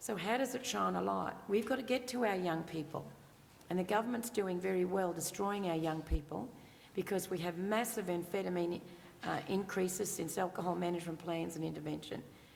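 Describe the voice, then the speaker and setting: A woman speaks in an Australian accent. Her pitch sits in the medium range. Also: ordinary pitch variation, fairly quick pace. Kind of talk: panel Q&A answer.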